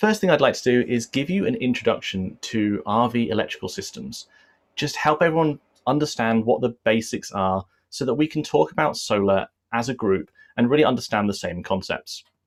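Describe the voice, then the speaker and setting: The speaker has an English accent and talks at a fairly quick pace. The pitch swings very widely. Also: man, medium pitch for a man. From England. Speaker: RV solar presenter. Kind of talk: online presentation.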